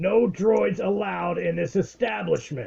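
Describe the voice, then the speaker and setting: Putting on a gruff character voice pitched high for a man, he speaks at a moderate pace. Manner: gruff, refusing entry.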